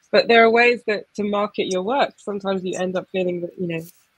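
Against a quiet background with dry sound and no echo, a woman in a southern English accent speaks at a medium pitch with ordinary pitch variation. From Essex, England; England. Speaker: poet. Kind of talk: casual conversation; reading aloud. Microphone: video call.

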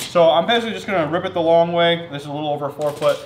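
Light background noise sits under the recording. A man speaks at a very fast pace. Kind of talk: casual vlog tutorial. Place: workshop. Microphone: camera far.

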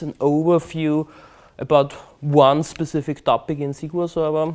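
With a German accent, a man speaks at a fairly slow pace and a fairly high pitch. The background is quiet. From Austria, Vienna. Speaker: conference speaker, database expert. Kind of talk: technical presentation. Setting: stage with audience. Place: hall. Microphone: lapel.

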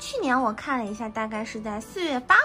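Music plays behind this voice, which moves at a moderate pace with ordinary pitch variation. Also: woman. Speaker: home gardener. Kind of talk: casual home vlog talk to camera.

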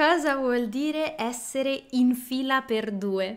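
A woman speaks with a high voice and ordinary pitch variation. The background is quiet. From Rome, Italy; Italy. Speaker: podcast co-host, Italian teacher. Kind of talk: casual chat. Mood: cheerful, animated. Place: home room. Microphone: studio mic.

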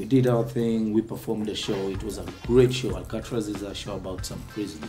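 A man talks at a fairly low pitch and a fairly quick pace, with hardly any pauses. His loudness swings widely over clear background music. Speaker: guest actor. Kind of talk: interview answer. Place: street. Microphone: lapel.

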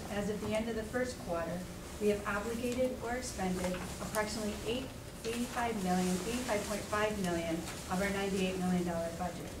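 Noticeable background noise sits behind a woman speaking with ordinary pitch variation. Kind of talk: formal budget report. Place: meeting room.

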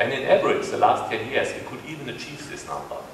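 A man talks with light noise behind him and audible echo in the room. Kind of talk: press conference presentation. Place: hall. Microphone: pa.

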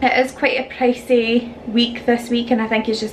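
A woman keeps a moderate pace as noticeable background noise carries on around her. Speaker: vlogger. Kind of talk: casual vlog chat. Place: kitchen. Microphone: phone near.

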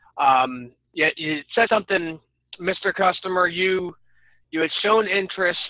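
The sound is dry with no echo, set against a quiet background. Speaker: door-to-door solar salesperson. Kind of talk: casual chat. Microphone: video call.

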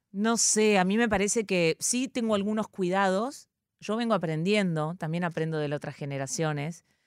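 A woman with an Argentine accent speaks at a moderate pace and medium pitch, with ordinary pitch variation. The recording is very clean, with a silent background. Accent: Rioplatense Argentine Spanish. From Argentina. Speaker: comedian and actress. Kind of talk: casual chat.

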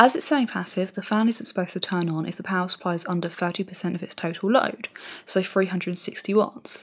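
A woman speaks softly at a moderate pace. Her pitch sits in the middle range with ordinary variation. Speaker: tech YouTuber. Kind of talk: tutorial. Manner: soft-spoken.

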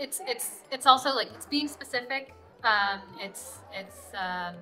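A woman speaks with ordinary pitch variation. Clear music plays in the background. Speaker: journalist interviewee. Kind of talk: interview answer. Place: hall.

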